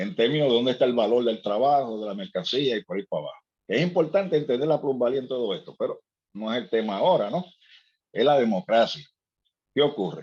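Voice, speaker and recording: A man's medium-pitched voice with lively intonation at a very fast pace. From Puerto Rico, Ponce. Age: 60s. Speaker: seminar participant. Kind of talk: seminar discussion. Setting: video call. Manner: halting, many repetitions.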